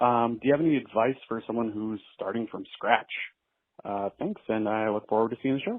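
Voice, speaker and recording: This man has a normal speaking voice at a medium pitch. He speaks at a moderate pace with fairly even intonation. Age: 30s. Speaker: caller. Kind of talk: voicemail question.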